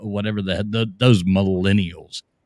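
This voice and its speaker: Recorded very cleanly against a silent background, a man talks at a moderate pace in an animated tone, with a dry, close sound and no echo. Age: 40s. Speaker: live stream host. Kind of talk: casual chat.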